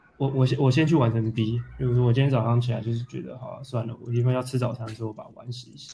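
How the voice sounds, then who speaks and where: A man talks at a very fast pace with hardly any pauses, at a medium pitch and with fairly even intonation. His loudness swings widely over noticeable background noise. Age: 30s. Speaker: photographer and theatre director. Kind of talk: casual interview. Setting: remote call with earphones.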